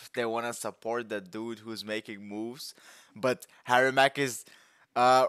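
In a dry recording with no echo and a quiet background, a man talks at a fairly slow pace with monotone, flat intonation. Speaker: music reactor. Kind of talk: casual reaction commentary. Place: home room. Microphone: headset.

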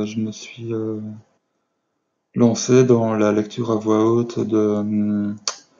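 A man with a fairly low voice speaks at a very slow pace, leaving long, frequent pauses. His intonation stays monotone and flat. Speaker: amateur reader. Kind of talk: casual talk to camera. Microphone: webcam.

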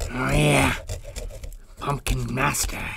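A raspy, put-on character voice comes through over clear background noise. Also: man. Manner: spooky, theatrical.

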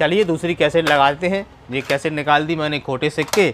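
A man's fairly high voice with a fairly bright tone, ordinary pitch variation and a fairly quick pace

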